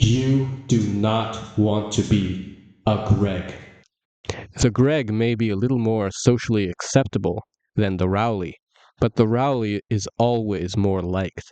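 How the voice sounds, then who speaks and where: Here is an unremarkable speaking voice. Its intonation stays fairly even. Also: man, fairly low pitch for a man. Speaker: voice-over artist. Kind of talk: comedic copypasta reading.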